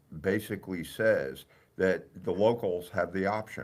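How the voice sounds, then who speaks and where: With a New Jersey accent, a man speaks in a very deep, low pitch on a very clean recording with a silent background. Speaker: mayor. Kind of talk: radio interview. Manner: halting, many fillers.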